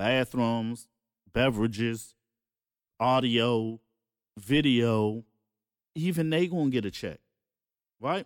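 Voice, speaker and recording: A man talks in an animated tone with lively intonation. The recording is very clean, with a silent background. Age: 40s. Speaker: podcast host and music producer. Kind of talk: casual chat. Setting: home studio.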